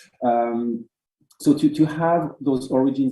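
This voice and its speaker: With a French accent, a man speaks using ordinary pitch variation. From France. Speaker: art curator and moderator. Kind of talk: online talk introduction. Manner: halting.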